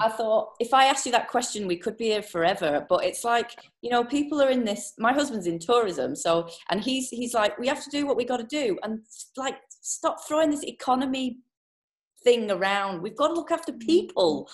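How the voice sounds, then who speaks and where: Speaking at a fairly quick pace, a woman with a British accent uses a high pitch and lively intonation. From UK. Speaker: podcast host. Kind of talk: interview. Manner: animated.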